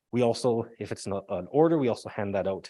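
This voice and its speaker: Over a silent background in a very clean recording, a man speaks. His tone is dark and mellow, his intonation lively. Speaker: emergency management official. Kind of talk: public presentation. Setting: public meeting with audience. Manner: fast.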